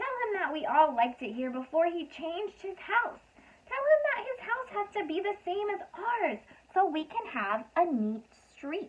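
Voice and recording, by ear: A woman puts on a character voice with an extremely high pitch and big pitch swings, speaking at a fairly slow pace.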